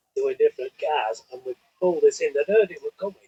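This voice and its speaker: A man speaks with a northern English accent in a dry, close sound with no echo. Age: 60s. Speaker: drag racer. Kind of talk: casual chat.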